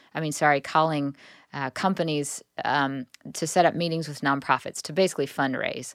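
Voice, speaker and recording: A woman with a very deep, low pitch and fairly even intonation speaks with big swings in loudness, in a very clean recording with a silent background and a dry, close sound with no echo. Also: fairly quick pace. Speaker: singer-songwriter and seminary student. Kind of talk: casual interview.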